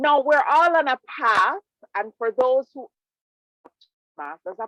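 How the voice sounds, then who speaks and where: Speaking at a fairly slow pace in a Jamaican accent, a woman with a high pitch is captured in a dry, close sound with no echo. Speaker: public speaking club presenter. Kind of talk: presentation. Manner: animated.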